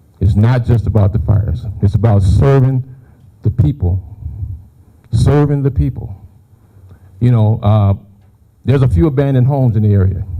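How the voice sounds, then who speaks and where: A man with a fairly low pitch, a dark, mellow tone and a somewhat breathy voice talks at a moderate pace with lively intonation, very even loudness and long, frequent pauses. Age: 60s. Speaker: firefighter. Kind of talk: public speech.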